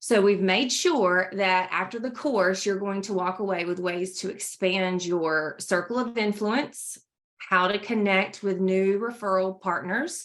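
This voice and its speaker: With a North Carolina accent, a woman at medium pitch speaks at a fairly slow pace with hardly any pauses. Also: ordinary pitch variation. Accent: Southern US (North Carolina). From US South, North Carolina. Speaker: trainer presenting courses. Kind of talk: corporate presentation. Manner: animated.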